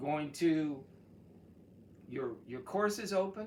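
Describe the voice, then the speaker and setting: Recorded with noticeable background noise and audible room echo, a man speaks with an American accent. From Texas. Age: 70s. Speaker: college chemistry instructor. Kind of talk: course introduction video. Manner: casual, with frequent fillers.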